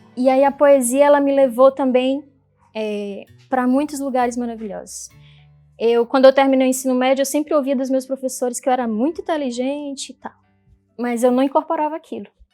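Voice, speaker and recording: Music plays behind a woman with a northeastern Brazilian accent and a high pitch. She talks at a fairly quick pace with fairly even intonation. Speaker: poet and social entrepreneur. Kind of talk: personal story talk.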